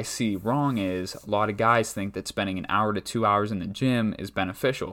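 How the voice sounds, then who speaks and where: In a very clean recording with a silent background, a man with an ordinary speaking voice talks at a moderate pace and a fairly low pitch, with ordinary pitch variation. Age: 20s. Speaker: strength coach and podcast host. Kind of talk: solo podcast monologue. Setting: talking into a microphone. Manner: casual, many filler words.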